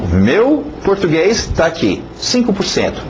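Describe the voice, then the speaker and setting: Amid noticeable background noise and audible room echo, a man speaks at a fairly slow pace with very wide pitch swings. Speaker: English teacher. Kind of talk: lecture. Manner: halting, many fillers.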